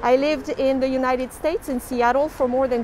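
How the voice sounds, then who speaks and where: With noticeable background noise, a woman with a French accent speaks at a moderate pace in a high pitch with ordinary pitch variation. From France, Toulouse. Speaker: tour guide. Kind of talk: live-streamed walking tour. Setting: outdoors on the street. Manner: lively.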